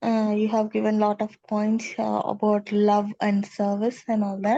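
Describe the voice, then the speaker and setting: A woman's somewhat breathy voice, fairly slow in pace, with monotone, flat intonation and very even loudness. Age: 40s. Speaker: participant asking a question in an online class. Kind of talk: Q&A after a spiritual class. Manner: halting.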